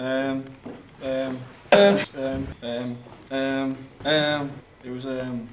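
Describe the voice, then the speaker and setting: A man talks very slowly as loud noise fills the background. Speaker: groom. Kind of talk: wedding speech. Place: hall. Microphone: camera far.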